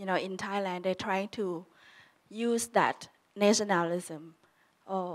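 Her pace is fairly slow. A woman speaks, and her intonation stays fairly even. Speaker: panelist. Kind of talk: panel discussion answer. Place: hall. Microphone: handheld.

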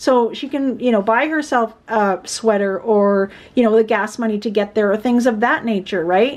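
A woman talks in a high pitch with ordinary pitch variation. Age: 40s. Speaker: budgeting YouTuber; budget vlogger. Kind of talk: casual vlog tutorial. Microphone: phone near.

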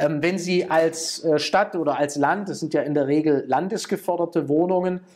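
At a fairly slow pace, a man speaks with a high pitch and ordinary variation on a very clean recording with a silent background. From Schwäbisch Hall, Baden-Württemberg, Germany. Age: 50s. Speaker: politician. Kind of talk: interview answer.

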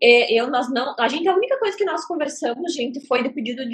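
This is a woman with a high pitch. Her pitch variation is ordinary. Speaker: psychic livestreamer. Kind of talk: livestream chat. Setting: livestream.

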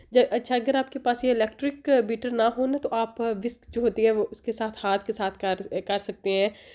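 A woman speaks in a fairly high voice with a dark, mellow tone and ordinary pitch variation. The background is quiet. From Pakistan. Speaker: family vlogger. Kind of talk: vlog and cooking tutorial. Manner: casual, chatty with fillers.

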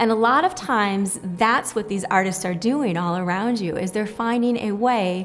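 A woman's lively intonation and moderate pace come through with light noise behind her. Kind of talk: interview answer. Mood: warm, heartfelt. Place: home room.

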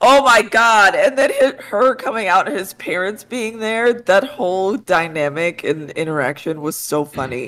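A woman at a medium pitch talks at a fairly slow pace with very wide pitch swings and hardly any pauses. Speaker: pop culture show panelist. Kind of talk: casual chat. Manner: enthusiastic. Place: home room. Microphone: headset.

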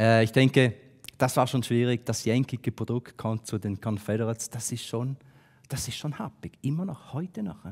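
The background is silent while a man talks. His pace is moderate and his pitch shifts in an ordinary way. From Switzerland, St. Gallen; Switzerland. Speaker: business consultant, speaker; conference speaker. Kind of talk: talk to an audience. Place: hall. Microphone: headset.

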